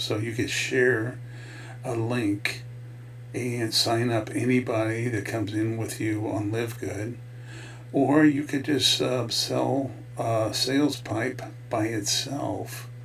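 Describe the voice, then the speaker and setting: Noticeable background noise surrounds a man who talks at a very slow pace with medium pitch and monotone, flat intonation. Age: 60s. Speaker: network marketing affiliate. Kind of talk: casual talk to camera, product promotion. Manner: hesitant, many filler words.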